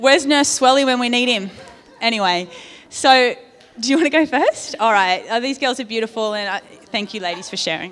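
Speaking at a fairly quick pace, a woman with a high pitch uses lively intonation over noticeable background noise. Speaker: church service leader. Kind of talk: prayer and church service hosting. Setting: church.

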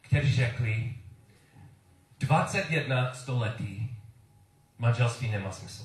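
A man's somewhat breathy, medium-pitched voice at a very slow pace, with audible room echo. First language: English (speaking Czech). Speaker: preacher. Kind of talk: sermon. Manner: halting.

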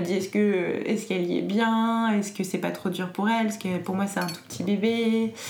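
A woman's voice carries audible room echo. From France. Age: 20s. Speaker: entrepreneur. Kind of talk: interview. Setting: at home. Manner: hesitant.

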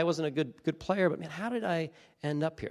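On a very clean recording with a silent background, a man talks very fast with ordinary pitch variation. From US Northeast, coastal New Jersey. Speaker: pastor. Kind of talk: sermon.

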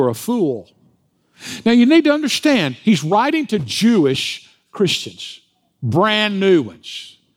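An American accent marks this man's speech. His pace is fairly slow. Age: 60s. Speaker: pastor. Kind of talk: sermon. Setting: church.

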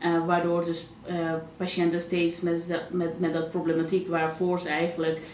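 Amid noticeable background noise and audible room echo, a woman with a fairly low pitch speaks at a moderate pace in a monotone, flat intonation. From Netherlands, Pakistani family. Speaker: general practitioner. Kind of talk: interview conversation. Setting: small live audience. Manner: hesitant, many fillers.

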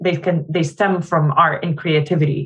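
Somewhat breathy and fairly low-pitched, a woman speaks at a fairly slow pace. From Jordan. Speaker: nonprofit founder. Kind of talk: interview.

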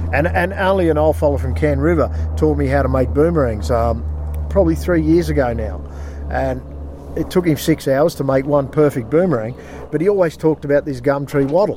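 The speaker has an Australian accent and a fairly quick pace. Pitch swings are very wide, and there is noticeable background noise. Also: man, very deep, low pitch for a man. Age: 40s. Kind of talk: casual interview. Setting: outdoors by a river.

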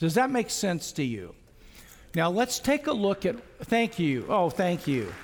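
A man's high voice swings very widely in pitch while his loudness stays very even. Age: 70s. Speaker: preacher. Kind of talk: sermon. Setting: church. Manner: halting.

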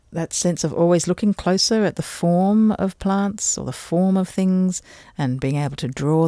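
A woman speaks at a moderate pace in a dark, mellow tone with ordinary pitch variation. The recording is very clean, with a silent background. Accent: Australian. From Australia, Adelaide and Canberra. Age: 50s. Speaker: botanical artist. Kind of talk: casual chat. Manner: animated.

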